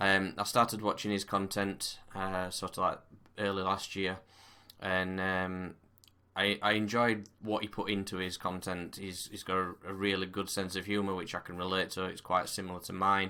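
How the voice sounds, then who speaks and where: A man with a very deep, low voice and a bright, sharp tone speaks in a monotone, flat way at a moderate pace, in a very clean recording with a silent background. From northern England, Barnsley, South Yorkshire. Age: 30s. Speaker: gaming YouTuber. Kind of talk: casual to-camera monologue. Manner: hesitant, many fillers.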